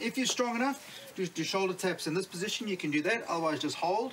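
Over light background noise, a man raises and projects his voice. He keeps a moderate pace. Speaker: fitness coach. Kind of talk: tutorial. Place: street.

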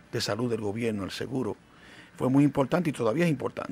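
The speech has ordinary pitch variation, with music playing in the background. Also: man. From Dominican Republic, Santiago. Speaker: physician and foundation president. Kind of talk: interview. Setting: studio. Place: studio. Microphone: studio mic.

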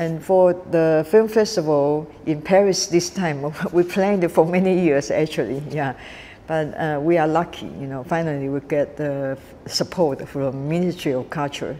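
A woman speaks at a moderate pace with a Taiwanese accent, her pitch very deep and low. Her pitch varies in an ordinary way, with light background noise behind her. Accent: Taiwanese Mandarin-accented English. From Taiwan, Kaohsiung. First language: Mandarin. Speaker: film director and festival founder. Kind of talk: interview. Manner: halting, many fillers. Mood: warm, smiling.

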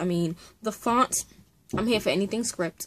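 A woman with ordinary pitch variation. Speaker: book vlogger. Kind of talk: casual vlog chat. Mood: excited, enthusiastic. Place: home room. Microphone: webcam.

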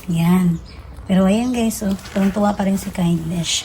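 Against light background noise, a woman speaks with fairly even intonation. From Philippines. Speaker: vlogger. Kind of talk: casual vlog narration.

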